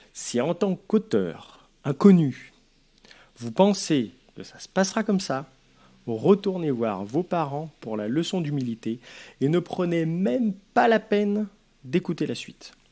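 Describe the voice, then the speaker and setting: Very slowly, a man with a high, dark, mellow voice speaks with very wide pitch swings, big swings in loudness, and long, frequent pauses. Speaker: author giving advice. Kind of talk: advice vlog.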